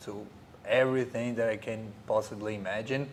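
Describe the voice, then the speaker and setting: A man with a Portuguese accent speaks at a fairly slow pace. His intonation stays fairly even. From Brazil. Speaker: jiu-jitsu professor. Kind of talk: podcast interview. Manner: hesitant, repeats words.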